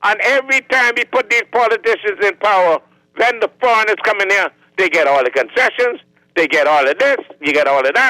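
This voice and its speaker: A man with a Bahamian accent speaks in a raised, projected voice at a high pitch and fairly quick pace, his bright, sharp tone showing very wide pitch swings. Loudness stays very even, and the sound is dry and close with no echo. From Bahamas. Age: 70s. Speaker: caller. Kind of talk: call-in rant. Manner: animated.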